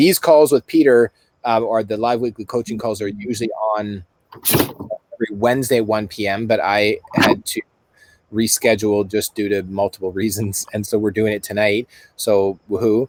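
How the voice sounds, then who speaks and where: This man has an unremarkable speaking voice with a Canadian accent, fairly low in pitch. His intonation is fairly even and his pace moderate. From Canada. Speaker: summit host. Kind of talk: live webinar chat. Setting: live online call.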